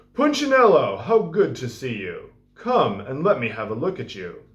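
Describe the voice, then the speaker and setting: A man puts on a high-pitched character voice, his loudness swinging widely. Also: moderate pace. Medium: read story. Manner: warm, gentle.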